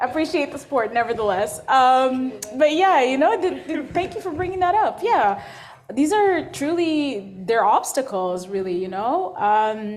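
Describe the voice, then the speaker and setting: A woman speaks in a high pitch at a fairly slow pace, her pitch swinging very widely, with audible room echo. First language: not English. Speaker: workshop moderator. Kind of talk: panel discussion. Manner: hesitant, stammering repetitions.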